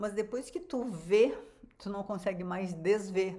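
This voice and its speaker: A woman's fairly slow, medium-pitched voice with a dark, mellow tone and ordinary pitch variation. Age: 70s. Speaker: physician and weight-loss coach. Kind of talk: online live class. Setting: livestream. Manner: casual, conversational.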